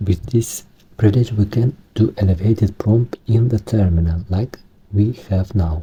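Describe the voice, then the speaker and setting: In a Romanian accent, a man speaks fairly slowly, somewhat breathy, with a dark, mellow tone and a fairly low pitch. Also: ordinary pitch variation. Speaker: Linux hobbyist tech tutorial maker. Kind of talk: tutorial. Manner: halting, not fluent.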